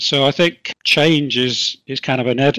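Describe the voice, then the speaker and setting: A man's fairly high, bright and sharp voice with an English accent, fairly slow in pace with ordinary pitch variation, dry and close with no echo. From England. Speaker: HR consultant. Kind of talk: interview.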